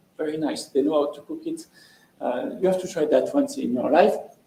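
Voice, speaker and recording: With a French accent, a man speaks at a moderate pace while audible room echo surrounds his voice. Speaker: lecturer. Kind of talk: lecture. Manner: halting.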